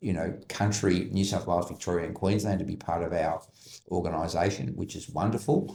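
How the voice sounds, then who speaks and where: Somewhat breathy, with a dark, mellow tone and an Australian accent, a man speaks at a fairly low pitch and a fairly quick pace. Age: 60s. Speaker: business advisory CEO. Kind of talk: podcast interview.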